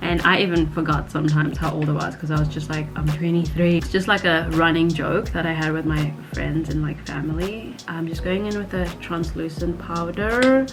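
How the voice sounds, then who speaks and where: Over music in the background, a woman with an American accent speaks at a moderate pace with hardly any pauses. There's audible echo in the room. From South Africa. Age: 30s. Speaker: vlogger and English teacher. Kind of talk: casual Q&A while doing makeup. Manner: filler-heavy casual.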